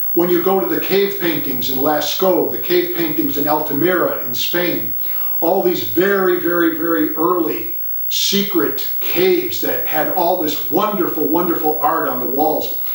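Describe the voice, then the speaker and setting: A man's high-pitched voice at a moderate pace with ordinary pitch variation, amid noticeable background noise and audible room echo. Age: 60s. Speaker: art writer and essayist. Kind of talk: casual talk to camera about art.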